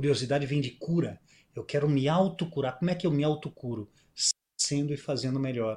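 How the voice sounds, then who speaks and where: A man speaks with a somewhat breathy voice. His pitch sits fairly high. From southern Brazil (Rio Grande do Sul, near Uruguay). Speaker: musician and speaker. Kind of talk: interview storytelling. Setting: video call.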